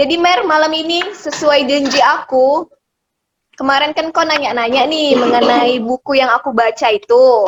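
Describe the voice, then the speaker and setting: A woman's high-pitched voice holds very even loudness and shows ordinary pitch variation. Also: moderate pace. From Medan, North Sumatra. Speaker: video host. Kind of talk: casual chat. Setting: video call.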